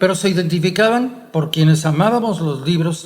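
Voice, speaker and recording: Against audible room echo, a man with a high pitch speaks at a moderate pace with lively intonation. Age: 70s. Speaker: historian. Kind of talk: conversational lecture. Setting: print shop. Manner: formal.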